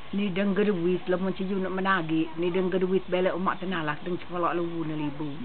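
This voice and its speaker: In a room with audible echo and noticeable background noise, a woman speaks very fast in a flat monotone with hardly any pauses. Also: medium pitch for a woman. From Lake Sebu, South Cotabato, Mindanao, Philippines. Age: 80s+. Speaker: master weaver. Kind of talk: interview answers.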